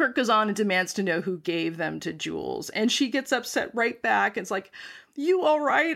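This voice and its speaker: A woman at a moderate pace, with very wide pitch swings. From US Midwest, North Dakota. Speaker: podcast co-host. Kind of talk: casual chat.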